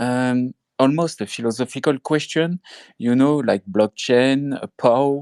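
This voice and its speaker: Speaking at a fairly slow pace with very even loudness, a man with a French accent sounds dry and close with no echo in a very clean recording over a silent background. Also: medium pitch for a man, ordinary pitch variation. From France. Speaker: crypto project ambassador. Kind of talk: project pitch. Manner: halting.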